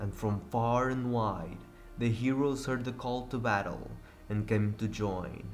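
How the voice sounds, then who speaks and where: A man speaks at a fairly slow pace in a medium pitch with fairly even intonation, with music in the background and audible room echo. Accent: Portuguese. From Portugal. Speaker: gaming youtuber. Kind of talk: reading aloud.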